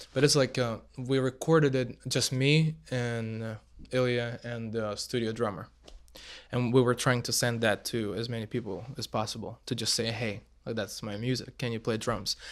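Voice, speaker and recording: A man speaks with a Russian accent and fairly even intonation. The recording is very clean, with a silent background. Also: medium pitch for a man, moderate pace. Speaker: musician. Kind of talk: casual chat. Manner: halting.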